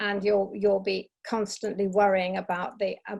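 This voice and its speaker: Against a quiet background, a woman speaks in a normal speaking voice at medium pitch. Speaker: business trainer. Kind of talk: webinar presentation. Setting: online webinar.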